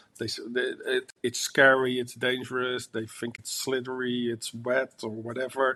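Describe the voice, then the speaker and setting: A man's monotone, flat delivery in a bright, sharp tone. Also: medium pitch for a man, moderate pace. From Netherlands, raised partly in France. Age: 50s. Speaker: wildlife photographer and author. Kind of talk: podcast interview. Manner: halting, with repeated starts.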